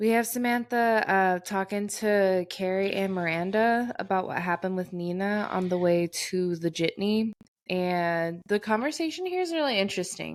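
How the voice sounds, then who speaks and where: This very clean recording, with a silent background, features a woman with an ordinary speaking voice at medium pitch. She talks at a moderate pace with ordinary pitch variation and very even loudness. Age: 20s. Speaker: podcast co-host. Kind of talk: casual chat.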